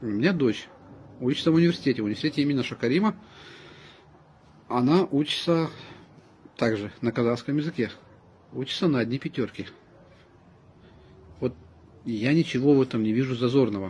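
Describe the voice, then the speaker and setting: Speaking at a fairly quick pace, a man uses a medium pitch with ordinary pitch variation. He leaves long, frequent pauses. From Kazakhstan, Semey. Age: 40s. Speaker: ethnic Russian resident speaking about language. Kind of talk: personal statement to camera. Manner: earnest, emphatic.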